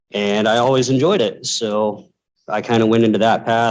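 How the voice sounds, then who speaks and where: A man with a normal speaking voice talks at a moderate pace, medium pitch and ordinary pitch variation. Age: 30s. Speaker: electrical apprentice. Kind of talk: panel discussion.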